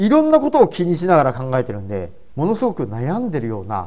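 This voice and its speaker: At a moderate pace, a man speaks in a dark, mellow tone with a fairly high pitch and very wide pitch swings. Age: 50s. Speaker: comedian and presentation coach. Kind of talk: solo podcast talk. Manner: casual.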